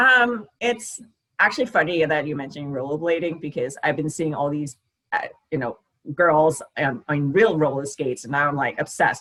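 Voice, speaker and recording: A woman talks with a Danish accent at a very deep, low pitch. Her pace is fairly quick. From Denmark. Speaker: diabetes fitness content creator. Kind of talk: casual interview chat.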